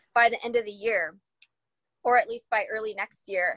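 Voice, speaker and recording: The speaker has a plain, everyday voice at a moderate pace. The sound is dry and close, with no echo. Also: woman. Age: 30s. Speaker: podcast host and mindset coach. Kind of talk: casual chat.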